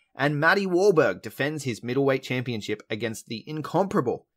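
In a very clean recording with a silent background, a man with an Australian accent talks at a moderate pace with lively intonation. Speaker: podcast host. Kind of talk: casual chat. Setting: in person.

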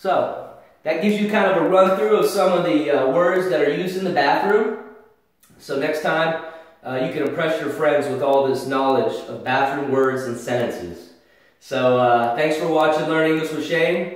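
Strong room echo surrounds a man whose pitch varies in an ordinary way against a quiet background. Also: moderate pace. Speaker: English teacher. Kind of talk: tutorial. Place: bathroom. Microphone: camera far.

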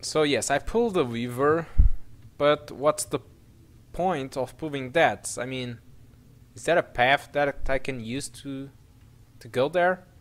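At a fairly slow pace, a man with a fairly high voice and ordinary pitch variation speaks with long, frequent pauses. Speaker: gaming video creator. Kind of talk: let's play gameplay commentary. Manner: halting, many fillers; animated, laughs often.

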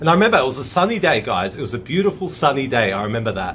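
A man talks at a very fast pace, his pitch fairly high with very wide swings. Light background noise is present. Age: 30s. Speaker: YouTuber telling a personal story. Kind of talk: casual storytelling monologue. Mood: earnest, amazed recollection. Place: garden. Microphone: phone near.

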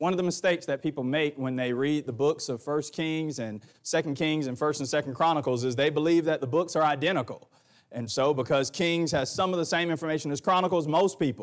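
In a quiet background, a man speaks very fast with ordinary pitch variation. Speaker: preacher. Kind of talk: sermon. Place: church.

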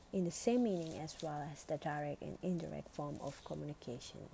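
With an Indonesian accent, a woman speaks at a very deep, low pitch. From Indonesia, Bali. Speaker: student. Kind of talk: academic presentation.

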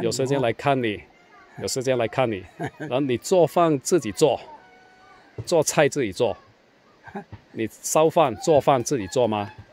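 Speaking fairly slowly with lively intonation, a man leaves long, frequent pauses in a dry recording with no echo. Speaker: travel vlogger. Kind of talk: casual interview questions. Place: street. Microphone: phone near.

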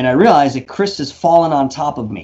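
Moderate pace from a male speaker. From New York. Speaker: paranormal investigator and YouTuber; YouTuber. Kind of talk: interview storytelling. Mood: reflective, eyes often closed. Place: home room. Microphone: studio mic.

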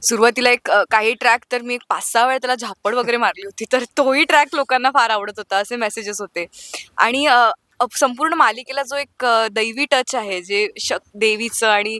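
Dry, close sound with no echo carries a woman's high pitch. Her tone is bright and sharp, with ordinary pitch variation. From Nagpur, Maharashtra. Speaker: TV serial actress. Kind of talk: casual interview chat.

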